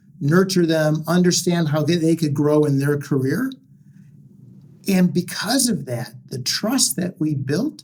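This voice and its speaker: Ordinary pitch variation paired with a somewhat breathy sound. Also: man. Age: 60s. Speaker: entrepreneur and former executive. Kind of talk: podcast interview.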